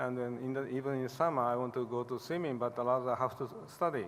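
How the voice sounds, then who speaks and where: The speaker is a man with a fairly high pitch. His pace is moderate, and his pitch variation is ordinary. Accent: Japanese. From Japan. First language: Japanese. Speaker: hepatologist. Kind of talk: award acceptance speech. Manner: halting.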